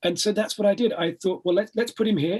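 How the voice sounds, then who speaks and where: Speaking at a very fast pace, a man delivers his words. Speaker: actor and novelist. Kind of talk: interview.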